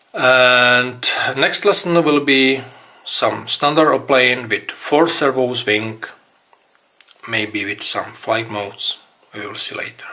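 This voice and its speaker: A man at medium pitch with a Czech accent, speaking at a very slow pace with long, frequent pauses, ordinary pitch variation and big swings in loudness. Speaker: RC hobby tutorial maker. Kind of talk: tutorial. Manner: halting.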